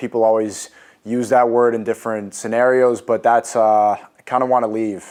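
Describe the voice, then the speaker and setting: A man of medium pitch, monotone and flat in intonation, at a moderate pace. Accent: New York. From US Northeast, New York City. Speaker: influencer on a dating show. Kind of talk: dating show debate.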